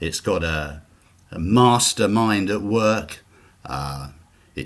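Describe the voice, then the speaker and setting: In a British accent, a man speaks with a fairly low, somewhat breathy voice. His pitch swings very widely. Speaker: author. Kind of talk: interview. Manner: halting.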